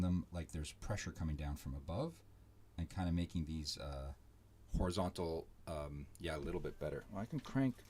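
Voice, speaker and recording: Very deep and low, a man's somewhat breathy voice carries a dark, mellow tone at a moderate pace. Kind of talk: casual live-stream commentary while drawing. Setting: live stream from home. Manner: rambling, hesitant with many fillers; mumbling, trailing off. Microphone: too quiet at first, volume raised.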